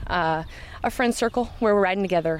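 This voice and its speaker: A woman with a Midwestern American accent. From Iowa, Knoxville. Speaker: trail club organizer. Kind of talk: interview.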